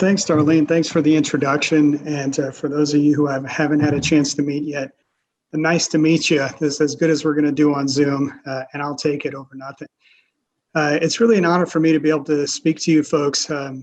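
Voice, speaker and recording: Delivered at a fairly quick pace, a normal speaking voice with an American accent keeps a fairly even intonation. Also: man. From US South, rural South Louisiana. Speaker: panelist, former head of a debate-resource nonprofit. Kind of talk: webinar panel talk. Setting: video call.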